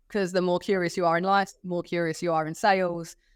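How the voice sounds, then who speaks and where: On a very clean recording with a silent background and a dry, close sound with no echo, a woman talks very fast with a fairly low pitch and fairly even intonation. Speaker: sales team manager. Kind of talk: podcast interview.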